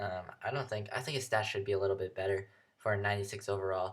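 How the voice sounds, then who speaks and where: Very fast speech in a somewhat breathy voice comes through a very clean recording with a silent background. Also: man. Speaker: gaming youtuber. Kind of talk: game review commentary. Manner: hesitant, many fillers; casual.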